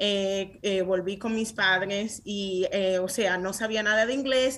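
Her pitch sits fairly high for a woman, with ordinary pitch variation. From Dominican Republic (San Francisco de Macorís), then New York. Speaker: tech startup founder. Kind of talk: interview. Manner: animated.

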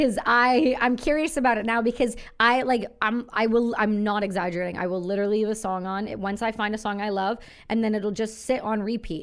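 Speaking in a Canadian accent, a woman has a normal speaking voice, fairly high in pitch, with fairly even intonation. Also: very clean recording, silent background. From Canada, rural. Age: 30s. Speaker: podcast host and army veteran. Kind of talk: casual chat.

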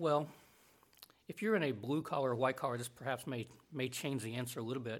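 A very fast pace broken by long, frequent pauses, in an American accent. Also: man, medium pitch for a man, ordinary pitch variation. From US South. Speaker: Bible college administrator and professor. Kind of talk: interview conversation.

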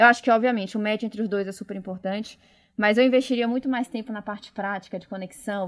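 Over a very clean, silent background, a woman speaks very fast at a fairly high pitch with fairly even intonation. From Bahia, Brazil (Salvador). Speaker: innovation manager. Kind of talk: casual interview.

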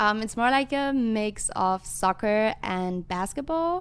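A woman with a German accent, fairly high in pitch, at a very slow pace. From western Germany. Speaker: international student. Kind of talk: casual interview. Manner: hesitant, many fillers.

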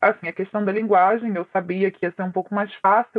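A woman at a medium pitch and a moderate pace. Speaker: former abuse victim sharing her story. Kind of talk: testimony.

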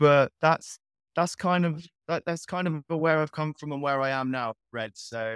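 A man with a fairly high pitch, an unremarkable speaking voice, and ordinary pitch variation talks at a fairly slow pace in a dry, close sound with no echo. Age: 20s. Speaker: online entrepreneur. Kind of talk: casual interview.

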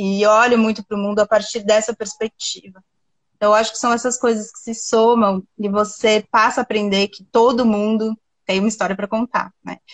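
Her intonation is monotone and flat, and her loudness swings widely at a moderate pace. The woman's fairly high pitch comes through a dry, close sound with no echo. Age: 40s. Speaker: writer and journalism professor. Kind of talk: interview conversation.

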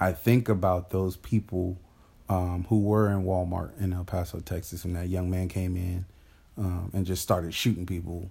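Very deep and low in pitch, a man speaks in a dark, mellow, somewhat breathy tone with flat, monotone intonation on a very clean recording with a silent background. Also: moderate pace. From US, grew up in a rough urban neighborhood. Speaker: podcast co-host. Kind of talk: casual chat.

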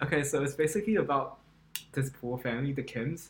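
With music in the background, a man speaks at a fairly quick pace in a fairly high voice with ordinary pitch variation. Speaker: podcast co-host. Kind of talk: casual chat.

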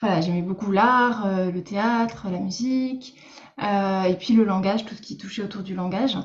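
A woman's somewhat breathy voice at a medium pitch, with fairly even intonation and a moderate pace. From Lorraine, France. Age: 30s. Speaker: speech therapist and coach. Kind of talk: interview. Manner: hesitant, many fillers.

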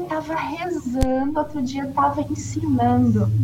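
A woman at a very slow pace, with noticeable background noise and audible room echo. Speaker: former nun, umbanda follower. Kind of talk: testimony.

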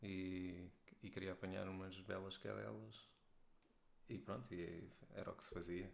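Amid audible room echo, a man with a very deep, low pitch speaks with long, frequent pauses. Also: ordinary pitch variation. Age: 30s. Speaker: wine trade professional. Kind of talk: casual chat.

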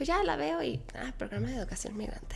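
A woman is talking. Her pace is moderate. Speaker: speech therapist and cancer survivor. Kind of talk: interview conversation, testimony. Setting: in person, same room. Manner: animated.

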